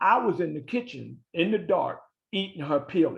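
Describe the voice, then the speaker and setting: A man with an American accent has a normal speaking voice, a fairly high pitch and ordinary pitch variation. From Baltimore, Maryland, US. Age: 60s. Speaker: motivational speaker and author. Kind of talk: testimony.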